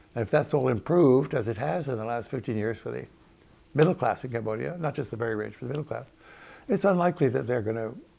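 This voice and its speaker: The voice has a dark, mellow tone with vocal fry. It moves at a very fast pace with lively intonation. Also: man, medium pitch for a man. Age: 80s+. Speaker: historian. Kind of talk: interview answer.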